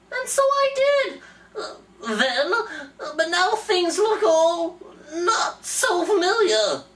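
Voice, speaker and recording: This put-on character voice sits at an extremely high pitch. It moves very slowly, with very wide pitch swings. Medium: read story. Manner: fussy, pouty.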